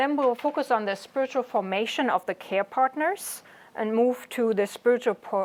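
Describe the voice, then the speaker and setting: A woman talks in a fairly high pitch with a German accent. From Germany. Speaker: chaplain. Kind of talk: lecture.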